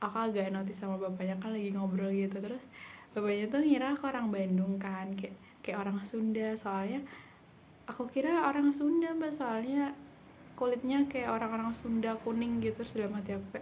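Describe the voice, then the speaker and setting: Audible room echo follows a woman talking at a fairly quick pace. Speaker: vlogger, university student. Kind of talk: casual vlog monologue. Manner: chatty, filler-heavy.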